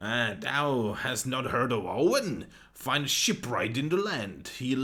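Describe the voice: The text is read aloud plainly, with lively intonation.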